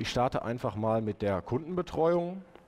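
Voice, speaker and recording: At a moderate pace, a man speaks, his intonation lively. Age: 30s. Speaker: web developer presenting his software; conference presenter. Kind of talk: conference talk with live demo. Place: hall.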